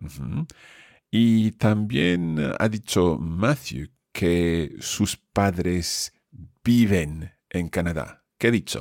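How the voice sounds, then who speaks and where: Very slowly, a man with a very deep, low voice speaks in a very clean recording with a silent background and a dry, close sound with no echo. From Scotland. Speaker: language teacher. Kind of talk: language lesson.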